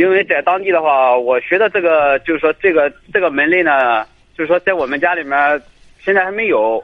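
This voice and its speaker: Here a man talks at a fairly quick pace. His pitch is fairly high, with ordinary variation. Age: 20s. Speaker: caller, migrant worker. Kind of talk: call-in advice. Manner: hesitant, many fillers.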